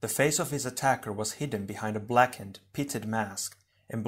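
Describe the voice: The text gets plain reading aloud, and the pitch varies in an ordinary way.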